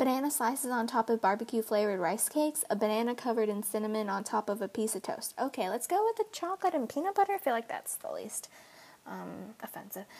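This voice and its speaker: A woman's fairly high voice, very fast and lively in intonation, with noticeable background noise. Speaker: vlogger. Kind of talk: casual chat.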